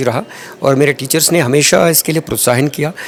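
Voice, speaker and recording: A man speaks with a Telangana accent. Background noise is noticeable. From Andhra Pradesh, India (Tirupati). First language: Telugu (speaking Hindi). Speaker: retired army doctor. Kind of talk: interview. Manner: halting, many filler sounds.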